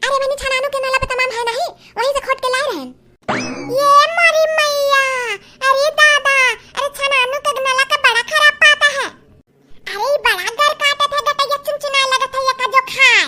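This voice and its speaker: A woman performs a cartoonish character voice at an extremely high pitch, moving at a moderate pace. She leaves long, frequent pauses while music plays in the background. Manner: gossipy rustic chatter.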